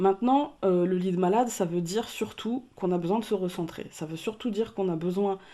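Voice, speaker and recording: A woman's medium-pitched voice with a dark, mellow tone, ordinary pitch variation and a moderate pace, on a very clean recording with a silent background. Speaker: tarot card reader. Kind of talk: card reading for viewers. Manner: calm, measured voice; speaking softly, not loud. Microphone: mic very loud in her ears, so she speaks quietly.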